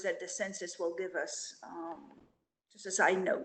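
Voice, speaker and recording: Fairly slow speech with a French accent. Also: woman. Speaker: director of a French-language agency. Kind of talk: panel discussion. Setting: live video stream. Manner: halting.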